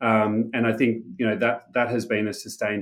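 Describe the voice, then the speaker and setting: Someone speaks with an Australian accent at a moderate pace. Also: man. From Australia, Sydney. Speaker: tech startup founder and CEO. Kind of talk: interview.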